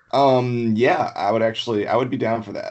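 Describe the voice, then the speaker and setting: The speaker is a man. He talks in a Southern US accent. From Alabama. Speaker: fantasy football league member. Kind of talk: casual chat.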